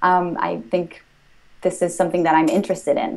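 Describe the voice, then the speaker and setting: In a Spanish accent, a woman speaks at a moderate pace and a medium pitch. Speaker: language-learning entrepreneur. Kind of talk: interview. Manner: hesitant, many fillers.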